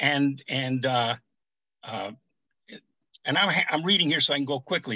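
With a fairly high pitch and ordinary pitch variation, a man talks at a moderate pace, leaving long, frequent pauses. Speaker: political activist. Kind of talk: panel discussion. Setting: video call. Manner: animated.

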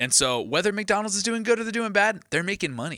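A bright, sharp tone with vocal fry and very wide pitch swings at a fairly quick pace, on a very clean recording with a silent background. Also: man. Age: 30s. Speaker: fitness guest. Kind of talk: casual chat.

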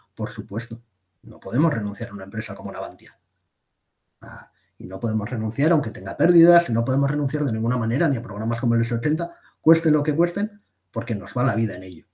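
A man's somewhat breathy voice with a dark, mellow tone at medium pitch, very fast and with lively intonation. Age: 30s. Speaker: defense magazine editor. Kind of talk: interview.

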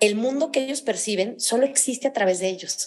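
The background is quiet as a woman speaks. Her pitch is fairly high and varies in an ordinary way. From central Mexico (León, Guanajuato). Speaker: author and speaker. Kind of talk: podcast interview. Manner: enthusiastic, energetic.

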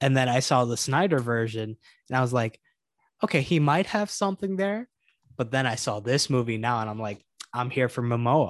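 A man with a normal speaking voice, medium pitch, lively intonation and a fairly quick pace, in a dry, close sound with no echo and a quiet background. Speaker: podcast co-host.

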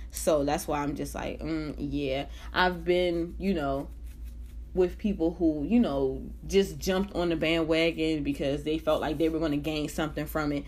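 A woman talks at a moderate pace, with audible room echo around her voice. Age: 20s. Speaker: podcast host. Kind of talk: casual solo monologue. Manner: animated.

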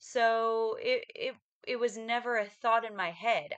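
At a very slow pace, a woman with a fairly high pitch talks in an American accent. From western United States. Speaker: podcast co-host. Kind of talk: casual chat.

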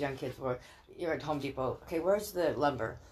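A woman has a plain, everyday voice and an American accent. She talks at a fairly quick pace with lively intonation. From California, raised by Texan parents. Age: 60s. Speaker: podcast guest, parent of a former guest. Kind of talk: casual chat.

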